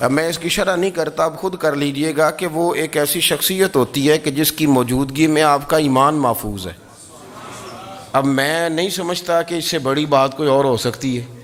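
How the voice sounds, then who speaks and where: This man's voice sits fairly high and moves with ordinary pitch variation. Noticeable background noise runs beneath it. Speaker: Islamic scholar giving a lecture. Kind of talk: Islamic religious lecture (bayan).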